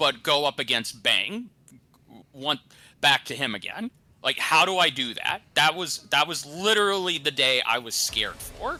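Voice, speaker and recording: The voice has a bright, sharp tone and vocal fry, with very wide pitch swings. Its pace is moderate. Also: man, fairly high pitch for a man. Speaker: podcast co-host and writer. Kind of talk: casual chat. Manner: stuttering, halting.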